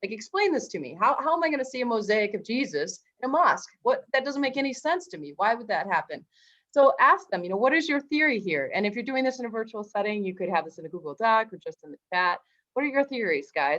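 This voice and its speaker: Talking very fast, a woman with a fairly high pitch swings widely in both pitch and loudness. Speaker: history teacher presenting workshop. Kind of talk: teacher workshop presentation.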